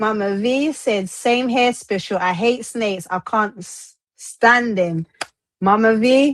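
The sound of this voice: Ordinary pitch variation from an unforced reading voice, the background quiet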